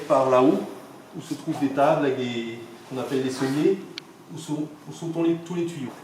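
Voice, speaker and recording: A man speaks at a moderate pace with fairly even intonation and long, frequent pauses, with audible room echo and noticeable background noise. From Alsace, France. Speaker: organ builder. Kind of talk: guided explanation. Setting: inside a church.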